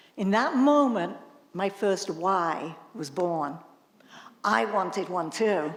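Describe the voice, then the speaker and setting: A woman of medium pitch talks at a very slow pace with long, frequent pauses. Her intonation is lively, and the room echo is audible. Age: 70s. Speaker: trail runner. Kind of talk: storytelling. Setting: stage with audience.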